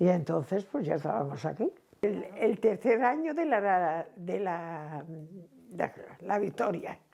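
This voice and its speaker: A woman's fairly low, dark, mellow voice with vocal fry and lively intonation. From Cantabria, Spain. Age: 80s+. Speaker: seamstress. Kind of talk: oral history interview answer.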